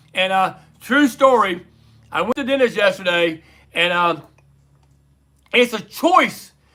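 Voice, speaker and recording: With an American accent, a man uses a raised, projected voice that is high-pitched, bright and sharp, animated and playful, with lively intonation, a fairly slow pace and long, frequent pauses. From United States. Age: 50s. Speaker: livestream trivia host. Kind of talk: casual livestream trivia chat. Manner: animated, playful.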